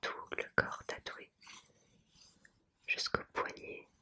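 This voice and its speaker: A woman whispering at a very slow pace. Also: long, frequent pauses. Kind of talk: ASMR rambling, whispered showing of a postcard collection. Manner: soft, hesitant, with frequent fillers.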